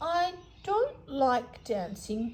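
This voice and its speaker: A female-sounding voice speaks at a high pitch. It is a put-on character voice. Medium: read story. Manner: timid, earnest.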